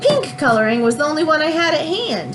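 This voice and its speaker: Over clear music in the background, a woman does a put-on character voice at a fairly quick pace. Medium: read story.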